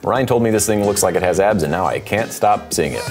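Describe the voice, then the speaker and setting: Over faint background music, a man with a fairly low voice talks at a very fast pace. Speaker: tattoo artist reviewer. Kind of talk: commentary. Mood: friendly constructive critique. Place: studio. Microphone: lapel.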